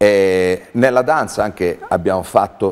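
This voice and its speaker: Here a man talks at a fairly slow pace. His pitch is very deep and low. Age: 50s. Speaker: theatre artistic director. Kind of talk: interview. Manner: halting. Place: studio. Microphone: lapel.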